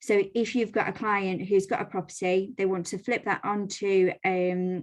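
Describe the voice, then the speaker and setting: A woman's medium-pitched voice carries fairly even intonation over a quiet background. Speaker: lender representative presenting to mortgage brokers. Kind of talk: business presentation on a video call. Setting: video call. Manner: fast.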